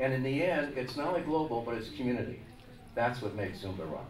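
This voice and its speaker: Over noticeable background noise and audible room echo, the voice moves at a fairly quick pace with ordinary pitch variation. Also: man. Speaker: music industry executive. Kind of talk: press conference answer. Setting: press conference with microphones.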